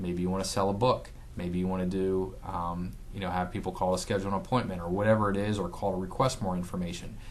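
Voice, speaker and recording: Audible room echo surrounds a man's very deep, low voice. He talks very fast with fairly even intonation. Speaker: physical therapist giving marketing tips. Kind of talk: casual talk to camera. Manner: stutters, many fillers.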